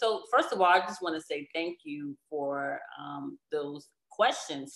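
This woman's pitch is very deep and low. She speaks with an American accent at a fairly slow pace. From Chicago, US Midwest. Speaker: Navy veteran and publicist. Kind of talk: casual interview.

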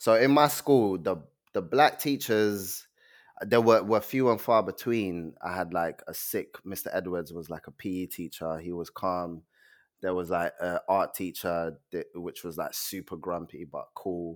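A speaker with a London accent talks at a fairly slow pace with ordinary pitch variation. The recording is very clean, with a silent background. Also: man, very deep, low pitch for a man. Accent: London, British. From Nigeria, then South London (Peckham) from age seven. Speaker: poet and author. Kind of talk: casual chat.

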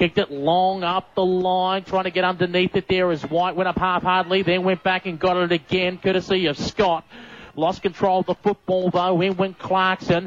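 With an Australian accent, a man talks in a monotone, flat intonation at a high pitch, his loudness very even and the sound dry and close with no echo. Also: moderate pace. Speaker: sports commentator. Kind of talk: live sports commentary, play-by-play. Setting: radio broadcast from ground.

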